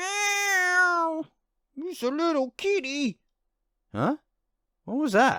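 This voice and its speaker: An extremely high-pitched male voice, raised and projected, with lively intonation, a very slow pace and long, frequent pauses. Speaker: professional voice artist, let's play gamer. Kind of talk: casual let's play commentary talking to camera. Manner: chatty, casual, friendly.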